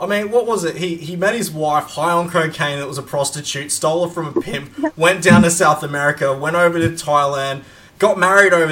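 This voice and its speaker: Animated in tone, a man with an Australian accent speaks with hardly any pauses. His pitch is fairly high, with ordinary variation. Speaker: podcast host. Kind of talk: casual chat.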